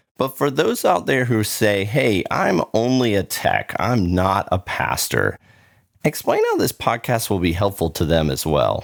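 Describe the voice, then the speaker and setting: On a very clean recording with a silent background, a man with an American accent uses a plain, everyday voice at a fairly low pitch, talking at a fairly slow pace with lively intonation and very even loudness. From Florida, US. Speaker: podcast host. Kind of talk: podcast interview.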